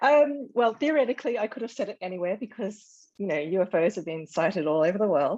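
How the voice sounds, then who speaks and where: With an Australian accent, a woman talks at a very fast pace, her pitch swinging very widely. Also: medium pitch for a woman. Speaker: author. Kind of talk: interview. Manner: hesitant, many fillers.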